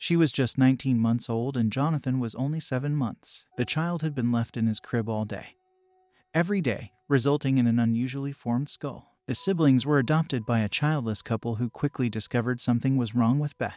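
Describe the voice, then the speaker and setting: Dry and close with no echo, the recording has a man speaking at a fairly quick pace in a plain, everyday voice at medium pitch with ordinary pitch variation. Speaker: horror story narrator. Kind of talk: scripted horror narration. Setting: podcast or video channel. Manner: measured and grave.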